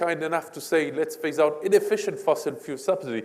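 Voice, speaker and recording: A man's high voice with a French accent. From France. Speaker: energy policy expert. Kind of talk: panel discussion. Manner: halting, many fillers.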